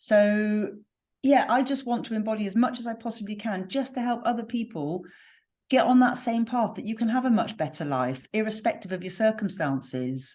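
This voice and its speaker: Somewhat breathy speech at a moderate pace, with lively intonation and a slight West Country accent. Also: woman, fairly high pitch for a woman. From West Country, southwest England. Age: 50s. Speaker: spiritual healer and mentor. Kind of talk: podcast interview.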